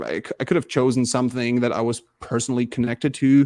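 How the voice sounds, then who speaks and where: This man, with a German accent, has a medium-pitched voice and speaks at a moderate pace. The sound is dry and close, with no echo. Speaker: diplomacy player in charity tournament. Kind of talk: interview. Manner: halting.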